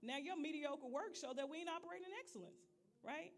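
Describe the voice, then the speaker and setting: Loud and animated, a woman talks at a fairly quick pace with very wide pitch swings amid noticeable background noise. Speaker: leadership trainer. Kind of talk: leadership training talk.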